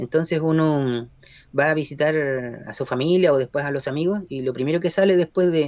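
A man's fairly high pitch at a fairly quick pace with ordinary pitch variation, an unremarkable speaking voice. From Chile, Concepción area. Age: 40s. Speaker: journalist. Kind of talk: radio interview.

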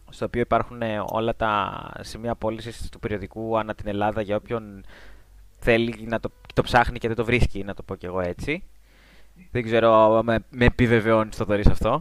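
Monotone, flat, moderately paced speech from a man at a medium pitch. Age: 20s. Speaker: magazine writer. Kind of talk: casual chat.

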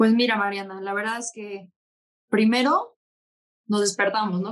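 A plain, everyday voice with fairly even intonation at a moderate pace. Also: woman. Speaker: bull breeder. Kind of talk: casual chat.

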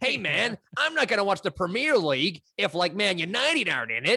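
Put on as a character voice in an American accent, the speech has a middle pitch, very wide pitch swings, and a fairly quick pace. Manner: mocking, exaggerated.

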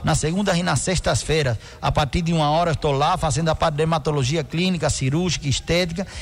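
Amid noticeable background noise, a man speaks very fast at a fairly high pitch, with ordinary pitch variation, very even loudness and hardly any pauses. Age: 50s. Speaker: doctor (dermatologist). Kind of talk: radio interview. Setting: radio studio with live video stream.

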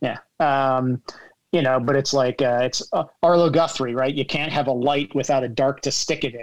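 At a medium pitch, a man speaks in a plain, everyday voice. His intonation is fairly even, and his pace is moderate. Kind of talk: casual group chat. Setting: video call.

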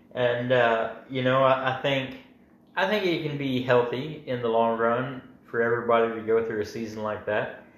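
With audible room echo around him, a man talks at a moderate pace in a medium pitch with fairly even intonation. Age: 20s. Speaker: factory worker. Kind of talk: casual chat.

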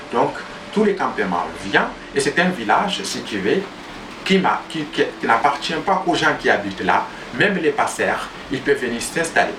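Pitch swings very widely in this fairly slow delivery full of long, frequent pauses, with audible room echo and noticeable background noise. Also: man, high pitch for a man. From Niger, Tuareg from near Arlit. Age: young. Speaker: agroecology project founder. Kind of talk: interview. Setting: mobile home during storm. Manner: halting, frequent repetitions.

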